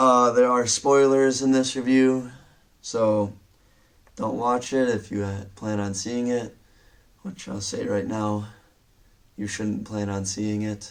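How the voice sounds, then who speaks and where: Slowly, at a very slow pace with long, frequent pauses, a man speaks at a medium pitch with fairly even intonation. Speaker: movie reviewer. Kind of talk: casual vlog review. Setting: home bedroom. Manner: halting, filler words.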